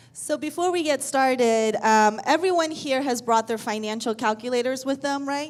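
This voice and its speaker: A woman talks loudly at a moderate pace in a high voice with ordinary pitch variation and hardly any pauses. The recording is very clean with a silent background. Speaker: accountant. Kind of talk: seminar presentation. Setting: stage with audience.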